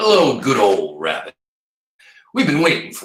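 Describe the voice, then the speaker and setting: A man's gruff, high-pitched put-on character voice at a moderate pace, with slight echo. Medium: read story.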